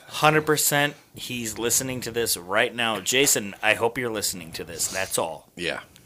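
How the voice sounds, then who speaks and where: With lively intonation and medium pitch, a man speaks at a fairly slow pace with hardly any pauses while noticeable background noise sounds behind him. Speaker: wrestling podcast host. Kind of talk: casual comedic banter, mock ring announcer.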